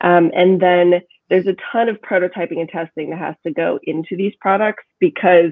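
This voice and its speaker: In an American accent, a woman with a normal speaking voice talks at a medium pitch with ordinary pitch variation. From Kansas. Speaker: assistant professor. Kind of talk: interview.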